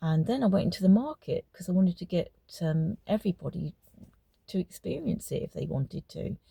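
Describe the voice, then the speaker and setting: A woman's medium-pitched voice with vocal fry, a fairly quick pace, and a dry, close sound with no echo. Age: 70s. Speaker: retired homeopath. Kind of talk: personal testimony. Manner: halting, with filler words.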